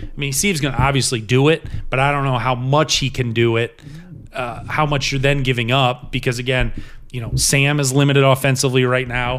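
A man with an American accent at medium pitch, moderate pace, and monotone, flat intonation. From upstate New York and Ohio. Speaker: sports broadcaster. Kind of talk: casual chat. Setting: kitchen table.

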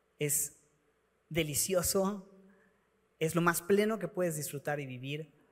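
With long, frequent pauses, a man speaks at a fairly slow pace in a high voice with ordinary pitch variation. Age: 30s. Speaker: pastor. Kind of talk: sermon.

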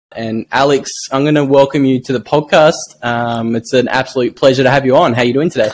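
At a very fast pace, a man with a strong Australian accent speaks at a medium pitch with fairly even intonation. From Australia (Tasmania). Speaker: podcast host. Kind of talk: interview podcast.

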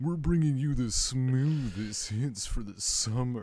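A put-on character voice from a man, medium in pitch and fairly slow. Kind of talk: radio announcer patter. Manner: smooth.

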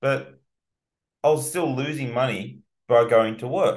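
A man is speaking. He has an Australian accent. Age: young. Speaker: car detailer and business owner. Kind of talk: casual interview. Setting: podcast recording. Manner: animated.

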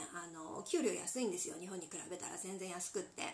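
Through noticeable background noise, a woman of medium pitch talks at a fairly quick pace with ordinary pitch variation. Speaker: handmade interior accessory maker. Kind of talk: solo podcast talk. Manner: polite, many filler pauses.

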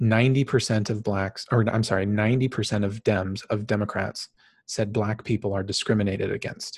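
A fairly low-pitched, somewhat breathy man speaks at a fairly quick pace with monotone, flat intonation. The recording is very clean, its background silent. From Phoenix, Arizona, US. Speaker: podcast host, organizational psychologist. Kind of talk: solo podcast monologue. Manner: casual, with frequent fillers (um).

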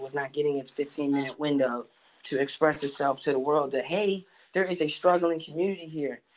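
A man talks at a fairly quick pace, his intonation fairly even. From Cleveland, Ohio, US Midwest. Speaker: rapper. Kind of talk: interview. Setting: on a video shoot.

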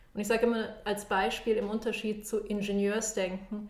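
A woman with a Bavarian accent speaks in a monotone, flat way at a fairly high pitch and moderate pace, with audible room echo. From Munich, Germany. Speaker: design thinking consultant. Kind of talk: casual interview.

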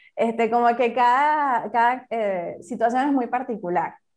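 The voice moves at a fairly slow pace. Its pitch shows ordinary variation. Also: woman. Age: 30s. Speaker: engineer and educator, author. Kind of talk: interview testimony. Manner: halting, many fillers.

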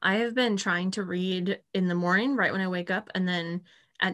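In an ordinary speaking voice, a woman talks at medium pitch with ordinary pitch variation over a quiet background. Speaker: podcast co-host. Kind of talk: casual chat.

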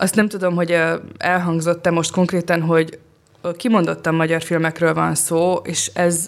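With a normal speaking voice, a woman talks at a fairly slow pace in a fairly low pitch and with fairly even intonation. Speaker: film critic. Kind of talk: casual chat.

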